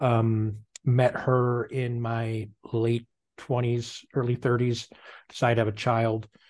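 Against a quiet background, a man of medium pitch speaks in a somewhat breathy voice. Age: 40s. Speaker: online sales businessman. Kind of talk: casual chat.

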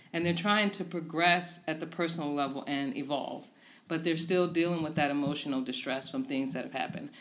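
Speaking at a fairly quick pace, a woman with a normal speaking voice and an American accent has a fairly low pitch and ordinary pitch variation. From Tidewater Virginia. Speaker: life coach. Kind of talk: interview. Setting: office.

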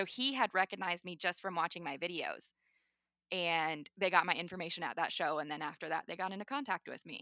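A woman with a normal speaking voice talks at a fairly quick pace, her pitch fairly low with ordinary variation. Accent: American. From North Dakota, US. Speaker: model railroad YouTuber. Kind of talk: casual interview.

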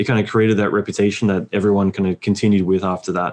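A man speaks at a fairly low pitch with monotone, flat intonation over a quiet background. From Australia. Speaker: visual effects supervisor. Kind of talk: casual interview.

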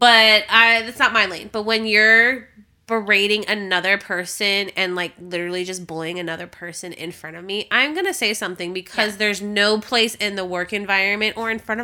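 A woman with a bright, sharp tone at a moderate pace, in a very clean recording with a silent background. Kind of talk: casual chat, podcast. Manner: monotone when serious, loud when joking.

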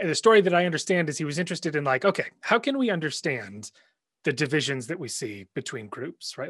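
Against a quiet background, a man with a fairly high, fry-tinged voice speaks at a fairly quick pace with very wide pitch swings. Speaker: professor and podcast host. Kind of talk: casual interview.

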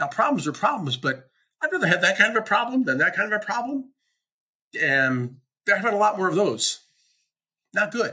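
Raised and projected, this man's high-pitched voice has a bright, sharp tone, very wide pitch swings and a fairly quick pace broken by long, frequent pauses. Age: 70s. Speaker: business coach and podcast host. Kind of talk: solo monologue podcast.

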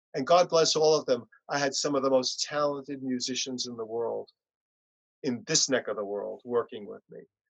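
This speaker talks at a moderate pace with a New York accent. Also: man. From US Northeast, Long Island, New York. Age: 60s. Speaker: punk musician. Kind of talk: interview. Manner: soft-spoken.

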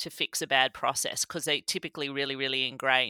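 Recorded with a dry, close sound and no echo, a woman speaks with a slight Australian accent. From rural Australia. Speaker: cybersecurity executive. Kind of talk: interview. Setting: remote recording.

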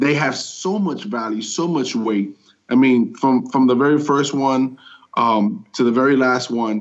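A plain, everyday voice from a man, medium in pitch, at a fairly slow pace with ordinary pitch variation. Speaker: podcast co-host. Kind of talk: casual chat.

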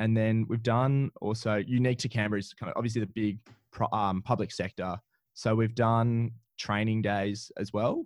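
A man talks with an Australian accent. The sound is dry and close, with no echo. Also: medium pitch for a man, moderate pace. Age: 20s. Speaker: trivia business owner. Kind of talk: interview. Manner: animated.

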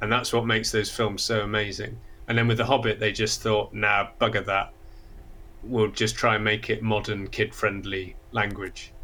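A man's fairly low-pitched voice with a bright, sharp tone, monotone, flat intonation, very even loudness and a moderate pace. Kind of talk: casual chat.

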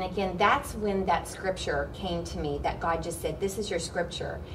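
A woman speaks at a fairly quick pace in a monotone, flat intonation. Noticeable background noise and audible room echo sit behind her. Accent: American. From Oklahoma. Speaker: worship pastor and ministry co-founder. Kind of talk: interview.

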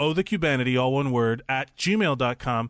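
In a very clean recording with a silent background and a dry, close sound with no echo, a man speaks at a moderate pace with ordinary pitch variation. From Miami, Florida (Cuban-American). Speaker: podcast co-host. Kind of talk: casual chat. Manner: loud.

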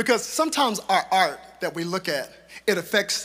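The voice is heard in the recording. It is a natural reading voice.

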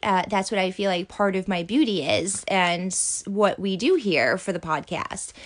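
The delivery keeps a moderate pace. Pitch variation is ordinary. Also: woman. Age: 30s. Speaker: podcast host and event organizer. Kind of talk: solo podcast monologue. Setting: home closet recording. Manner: rambling with frequent fillers.

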